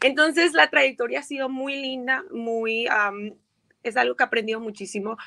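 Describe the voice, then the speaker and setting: A woman's fairly high, bright, sharp voice with lively intonation over a quiet background. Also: moderate pace. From Colombia, Montería / Barranquilla (Caribbean coast); Colombia. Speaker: violinist and DJ; DJ. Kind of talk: interview. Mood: warm, upbeat, reflective. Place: home room. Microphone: video call.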